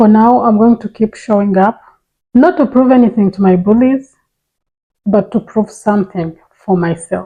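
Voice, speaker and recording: At a moderate pace, a woman with a non-native accent speaks in a fairly high, somewhat breathy voice with ordinary pitch variation. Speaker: personal finance YouTuber. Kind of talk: personal testimony to camera.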